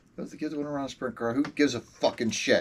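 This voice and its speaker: Noticeable background noise surrounds a man's voice. He speaks at a moderate pace with a fairly high pitch. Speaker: RC racing podcast host. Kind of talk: casual chat.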